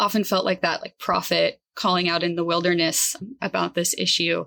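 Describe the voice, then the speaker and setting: Recorded very cleanly against a silent background, a woman speaks at a medium pitch and a moderate pace. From US West Coast, Northern California Central Valley. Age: 30s. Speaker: environmental advocacy director. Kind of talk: podcast interview.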